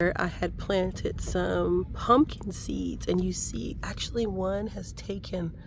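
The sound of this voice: A woman speaks slowly in a fairly low, raspy voice with vocal fry. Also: fairly even intonation.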